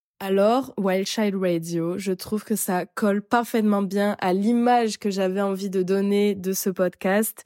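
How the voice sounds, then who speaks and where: A woman with a dark, mellow tone speaks at a very slow pace in a monotone, flat way. The recording is very clean, with a silent background and a dry, close sound with no echo. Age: 20s. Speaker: podcast host. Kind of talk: solo podcast monologue. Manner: casual, hesitant with many fillers.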